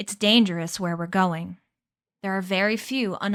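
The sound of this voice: Quiet background behind an unforced reading voice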